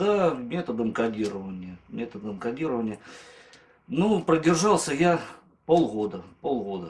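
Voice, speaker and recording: A man with very wide pitch swings and long, frequent pauses, against noticeable background noise. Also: medium pitch for a man, fairly slow pace. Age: 30s. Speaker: former drinker giving a course testimonial. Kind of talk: testimonial interview.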